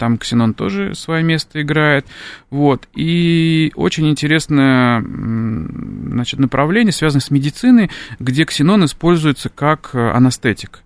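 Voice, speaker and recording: Very slowly, a man speaks with a fairly high voice whose pitch varies in an ordinary way. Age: young. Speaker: chemistry professor. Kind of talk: radio interview. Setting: radio studio.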